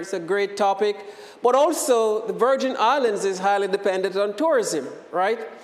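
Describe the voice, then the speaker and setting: Audible room echo surrounds a man speaking with a Jamaican accent. His pitch is high, with ordinary variation. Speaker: professor. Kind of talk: lecture. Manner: hesitant, many fillers.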